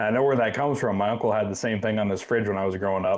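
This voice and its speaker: This man has a medium pitch. His intonation stays fairly even. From Iowa. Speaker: hunting podcast host. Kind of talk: casual interview.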